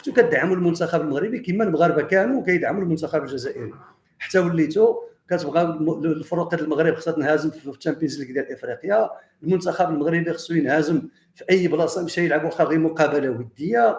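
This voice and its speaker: A man talks very fast at a high pitch, with ordinary pitch variation. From Morocco. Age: 60s. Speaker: history and heritage researcher, commentator. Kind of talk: monologue commentary addressed to viewers. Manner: animated; halting.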